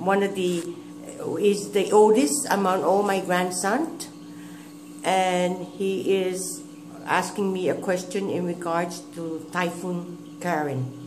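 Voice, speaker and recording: Speaking very slowly with a Guamanian accent, a woman of medium pitch shows ordinary pitch variation, with audible room echo and noticeable background noise. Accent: Guamanian (Chamorro) English. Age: 60s. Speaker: grandmother recalling history. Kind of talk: oral history interview. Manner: halting.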